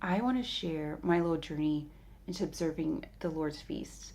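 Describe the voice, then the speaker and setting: A woman whispers in a raspy, put-on character voice at a moderate pace. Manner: whispering.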